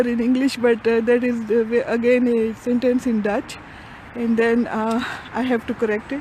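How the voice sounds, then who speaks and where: A woman's high, monotone, flat voice at a moderate pace, over noticeable background noise. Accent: Punjabi. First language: Punjabi. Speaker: vlogger. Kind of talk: casual vlog monologue. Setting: outdoors, walking with camera. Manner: halting, many fillers.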